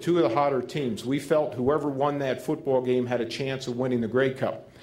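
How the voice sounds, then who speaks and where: Talking at a fairly quick pace, a man with a New Jersey accent is heard with audible room echo. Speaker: football head coach, keynote speaker. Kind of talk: Q&A speech at a gala. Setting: stage at a gala dinner with audience.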